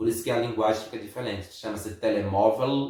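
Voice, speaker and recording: A man at a medium pitch and a fairly quick pace. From Brazil. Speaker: vlogger. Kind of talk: casual chat.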